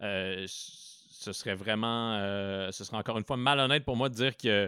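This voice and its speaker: The voice has a bright, sharp tone and fairly even intonation at a moderate pace. Its sound is dry and close with no echo, in a very clean recording over a silent background. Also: man. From Quebec, Abitibi (Rouyn-Noranda). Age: 30s. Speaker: cultural journalist and podcaster. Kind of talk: interview. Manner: hesitant, many fillers and repetitions.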